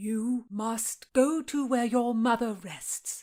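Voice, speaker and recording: A female-sounding voice puts on a character voice, fairly high in pitch and very slow, on a very clean recording with a silent background. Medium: read story. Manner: deferential, hesitant.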